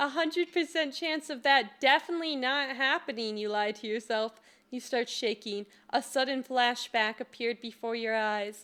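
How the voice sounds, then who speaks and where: Soft-spoken, a woman talks in a high pitch with ordinary pitch variation. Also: moderate pace. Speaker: streamer, gamer. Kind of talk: reading visual novel text aloud. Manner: soft-spoken, giggly.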